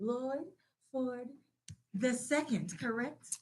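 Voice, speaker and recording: A woman with a Southern US accent at a high pitch, speaking at a very slow pace. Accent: southern drawl. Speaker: radio host. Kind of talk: live interview. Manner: animated.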